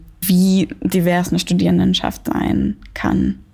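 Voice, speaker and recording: A woman is speaking. She talks very slowly. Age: 20s. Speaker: dance dramaturge. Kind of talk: interview. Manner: hesitant with frequent fillers.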